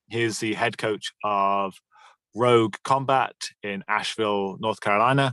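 A man with a British accent and a bright, sharp tone speaks at a fairly slow pace in a dry, close sound with no echo. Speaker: podcast host and gym owner. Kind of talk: casual interview chat.

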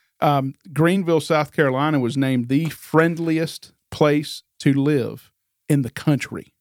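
At a fairly slow pace, a man with a normal speaking voice and fairly high pitch talks with fairly even intonation, recorded very cleanly against a silent background with a dry, close sound and no echo. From Northern Virginia, US. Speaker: real estate agent. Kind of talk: casual interview.

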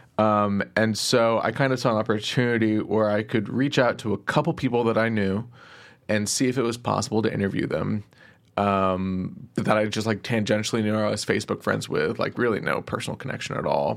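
A man with an American accent, fairly low in pitch, at a fairly quick pace and with fairly even intonation, on a very clean recording with a silent background. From Texas, Plano. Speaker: podcast interviewer, guest. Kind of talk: interview.

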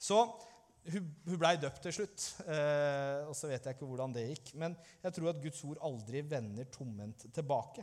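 A man's unremarkable speaking voice, fairly high-pitched, slow-ish in pace, with ordinary pitch variation. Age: 30s. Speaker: pastor. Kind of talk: sermon.

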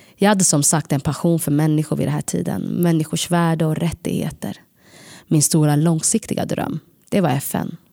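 Pitched very deep and low, a woman speaks with a dark, mellow tone. Her pace is moderate, with ordinary pitch variation. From Sweden. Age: 30s. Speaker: podcast storyteller. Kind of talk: scripted narration.

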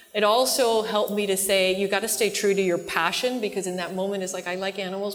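Against noticeable background noise, a woman speaks at medium pitch with fairly even intonation. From Cuba and Latin America, raised largely abroad, finished high school in Miami. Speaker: newspaper publisher. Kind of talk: onstage interview.

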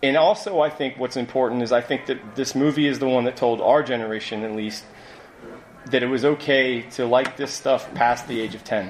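This man talks at a fairly quick pace with an American accent. Noticeable background noise can be heard. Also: medium pitch for a man, ordinary pitch variation. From US Midwest (Ohio). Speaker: screenwriter and novelist. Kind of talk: live convention panel. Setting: stage with audience.

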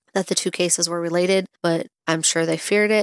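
The speech moves at a fairly quick pace with fairly even intonation, and the sound is dry and close with no echo. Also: woman. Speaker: true crime podcast host. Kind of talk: true-crime narration, read from researched notes. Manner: measured, serious, sympathetic storytelling; casual, chatty in housekeeping intro.

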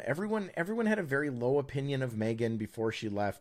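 On a very clean recording with a silent background, a man with an unremarkable speaking voice talks at a fairly quick pace with ordinary pitch variation. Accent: American. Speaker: podcast co-host. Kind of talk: casual chat.

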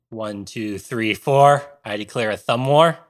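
A man's put-on character voice at a medium pitch, fairly slow, with ordinary pitch variation, on a very clean recording with a silent background. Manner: declaring grandly.

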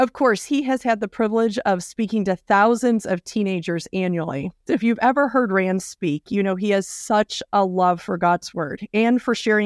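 A woman in an ordinary speaking voice at medium pitch and a moderate pace, with ordinary pitch variation, hardly any pauses and a dry, close sound with no echo. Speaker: podcast host. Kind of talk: interview.

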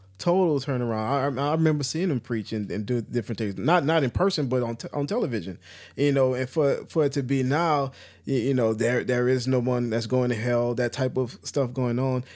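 Moving at a fairly quick pace, a man with a plain, everyday voice speaks at medium pitch with ordinary pitch variation. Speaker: podcast co-host.

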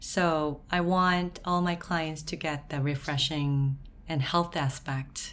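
A woman's very deep, low-pitched voice at a very slow pace, in a Korean accent. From South Korea. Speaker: permanent makeup artist and beauty business owner. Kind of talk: casual interview.

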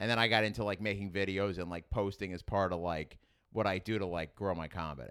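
A man with a strong New York accent speaks very fast in a very deep, low voice with fairly even intonation. The recording is very clean, with a silent background. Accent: strong New York (Queens). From Queens, New York City. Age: 30s. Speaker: stand-up comedian. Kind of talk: casual interview chat. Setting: studio.

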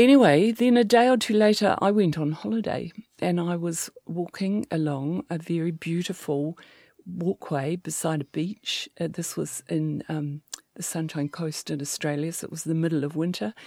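In a New Zealand accent, a woman speaks at a moderate pace with lively intonation and a fairly low pitch. The recording is very clean with a silent background, and the sound is dry and close with no echo. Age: 60s. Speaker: sex therapist. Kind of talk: interview.

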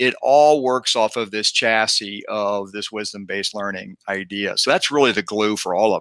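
On a very clean recording with a silent background and a dry, close sound with no echo, a man speaks in a bright, sharp tone with fairly even intonation. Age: 50s. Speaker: former CEO and leadership author. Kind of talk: interview.

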